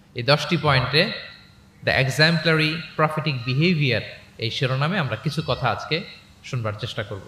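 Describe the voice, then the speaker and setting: This man's voice sits fairly high, with a bright, sharp tone and ordinary pitch variation. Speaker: Islamic preacher. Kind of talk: religious lecture to a live audience.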